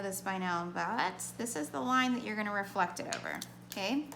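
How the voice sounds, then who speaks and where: The woman's intonation is lively, and the room adds audible echo. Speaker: math teacher. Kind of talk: tutorial. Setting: recorded lesson video for students.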